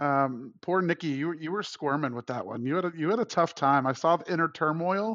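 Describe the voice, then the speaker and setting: A man talks in a plain, everyday voice at a fairly quick pace with hardly any pauses, his pitch fairly high with ordinary pitch variation. The sound is dry and close with no echo, over a quiet background. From Florida (Tampa). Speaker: food podcast panelist. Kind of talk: casual chat.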